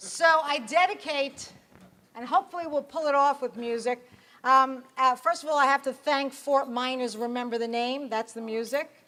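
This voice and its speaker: A raised, projected voice at a moderate pace with ordinary pitch variation. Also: woman, high pitch for a woman. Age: 50s. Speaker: performance poet.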